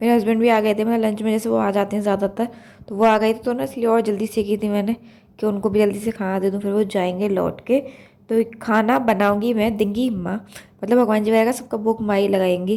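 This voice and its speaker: A woman talks at a fairly quick pace with a fairly high pitch. Her dark, mellow tone stays in a monotone, flat intonation. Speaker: vlogger, housewife. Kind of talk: casual vlog narration. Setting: home kitchen. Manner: loud.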